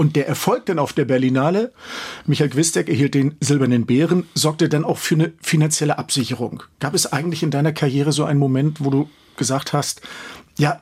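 Somewhat breathy and at a fairly high pitch, a man talks at a fairly quick pace with ordinary pitch variation. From Schwerin, Mecklenburg. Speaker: radio host. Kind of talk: radio interview.

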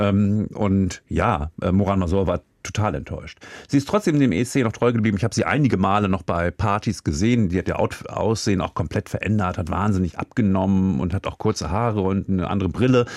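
In an ordinary speaking voice, a man talks fairly low and at a fairly quick pace with ordinary pitch variation, dry and close with no echo, on a very clean recording with a silent background. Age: 50s. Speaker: music expert co-host. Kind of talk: casual chat.

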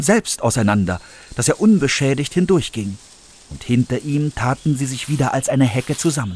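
On a very clean recording with a silent background, a man with a fairly high, somewhat breathy voice swings his pitch very widely, the sound dry and close with no echo. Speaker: actor reading fairy tale. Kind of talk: dramatic fairy-tale narration, read aloud with character voices. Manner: animated, expressive, varying pitch and pace for suspense and characters.

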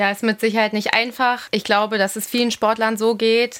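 Recorded very cleanly against a silent background, a woman speaks at a fairly high pitch and a moderate pace with monotone, flat intonation. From Munich, Bavaria. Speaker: professional volleyball player. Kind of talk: interview.

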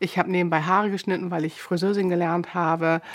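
Her fairly low voice is a plain, everyday voice. The woman talks at a fairly quick pace with fairly even intonation. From northern Germany, Buchholz in der Nordheide. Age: 50s. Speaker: elderly care nurse, patient. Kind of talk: interview testimony.

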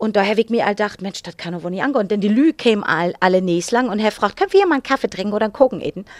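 A woman is heard in a very clean recording, the background silent. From northern Germany, Cuxhaven. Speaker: actress and singer. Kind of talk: casual chat in Low German. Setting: studio.

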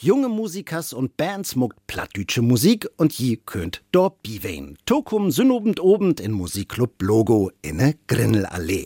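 In a dry, close sound with no echo, a man with a dark, mellow tone and medium pitch talks at a fairly slow pace with hardly any pauses, his pitch swinging very widely. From Hamburg. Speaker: radio host.

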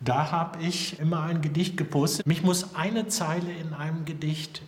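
A fairly slow pace with noticeable background noise. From Germany, Hannover. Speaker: poet. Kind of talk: TV report interview.

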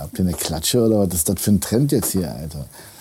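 This man's voice has a very deep, low pitch. Its tone is dark and mellow. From Berlin-Kreuzberg, Germany. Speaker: guest. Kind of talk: casual chat.

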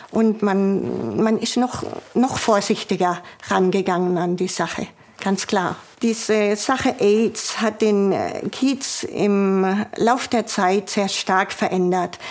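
Very slowly and at very even loudness, a woman talks at medium pitch. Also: fairly even intonation. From Swabia, southern Germany. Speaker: former police officer. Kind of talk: interview testimony. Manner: halting.

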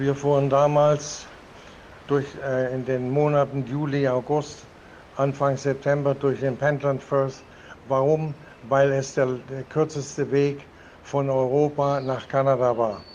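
Very slowly and with long, frequent pauses, a man speaks in monotone, flat intonation at a fairly high pitch. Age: 80s+. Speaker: retired merchant sailor. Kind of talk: interview. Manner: halting.

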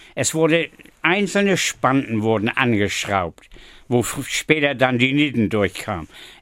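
Using very wide pitch swings around a medium pitch, a man speaks at a fairly slow pace. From northern Germany, Flensburg. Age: 80s+. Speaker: retired shipbuilder. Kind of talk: interview. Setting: studio.

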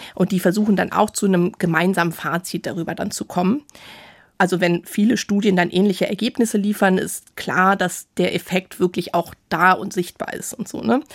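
On a very clean recording with a silent background and a dry, close sound with no echo, the voice moves at a moderate pace with ordinary pitch variation. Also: woman, medium pitch for a woman. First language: bilingual German and English (speaking German). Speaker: science journalist. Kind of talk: casual chat.

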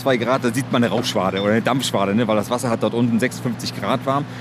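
A man speaks at a very fast pace with ordinary pitch variation. Background noise is noticeable. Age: 40s. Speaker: engineer and project manager. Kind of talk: on-site interview during a tour.

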